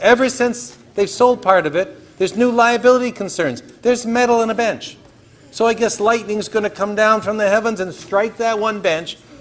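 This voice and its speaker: A man speaks loudly at a high pitch. His intonation stays fairly even. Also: moderate pace. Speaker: city councillor. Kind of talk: council debate speech. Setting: council chamber.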